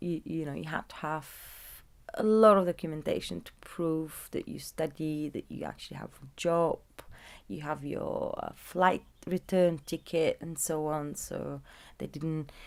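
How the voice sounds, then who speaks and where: A woman with a Bulgarian accent talks at a fairly slow pace on a very clean recording with a silent background. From southern Bulgaria, small agricultural town. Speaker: interviewee, migrant. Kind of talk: oral history interview. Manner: halting, many fillers.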